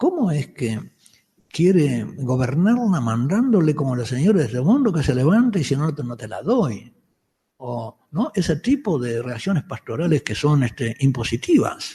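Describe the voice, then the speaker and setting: A man with a fairly high, dark and mellow voice speaks at a fairly slow pace, somewhat breathy, his pitch swinging very widely. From Uruguay, Montevideo. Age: 70s. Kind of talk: lecture. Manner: halting, with frequent restarts.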